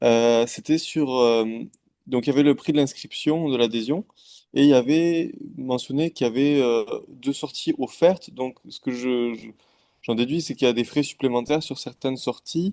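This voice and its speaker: Medium pitch in a man's dark, mellow voice, with a moderate pace and ordinary pitch variation. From France. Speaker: new club member asking questions. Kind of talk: Q&A session. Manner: halting.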